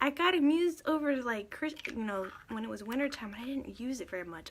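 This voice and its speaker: With an American accent, a woman talks at a fairly high pitch with lively intonation. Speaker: makeup vlogger. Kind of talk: makeup tutorial livestream. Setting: Facebook live stream. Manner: animated, chatty.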